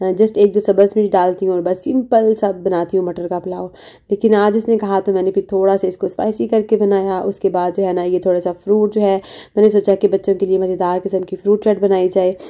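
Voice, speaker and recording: A woman speaks at a medium pitch in a monotone with flat intonation. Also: moderate pace. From Pakistan. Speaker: family vlogger. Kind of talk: vlog narration.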